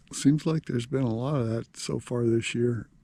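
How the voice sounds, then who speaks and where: Quiet and somewhat breathy, a man talks at a medium pitch. His tone is dark and mellow, and his pace is fairly slow. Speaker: camping vlogger. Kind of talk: casual vlog narration. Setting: outdoors at a campsite. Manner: halting, many fillers.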